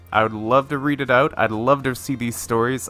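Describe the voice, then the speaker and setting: Over music in the background, a man talks at a fairly quick pace in an upbeat tone. His pitch is medium. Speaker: story reader. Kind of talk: casual talk to camera.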